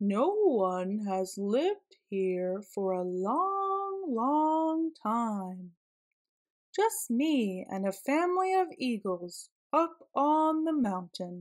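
Putting on a character voice, a woman speaks at a fairly high pitch with big pitch swings. Her pace is very slow.

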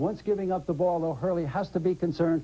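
High pitch from a man, dark and mellow in tone. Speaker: color analyst. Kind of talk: commentary. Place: studio.

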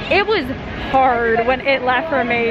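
A woman's voice with ordinary pitch variation, dry with no echo, over clear music in the background. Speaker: vlogger. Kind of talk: casual vlog chat. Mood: nostalgic then excited. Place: street. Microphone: phone near.

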